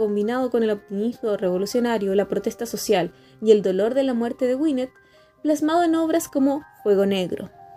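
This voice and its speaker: Over music in the background, a woman with high pitch talks at a fairly quick pace with lively intonation. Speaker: radio host, literary program presenter. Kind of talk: literary radio program narration.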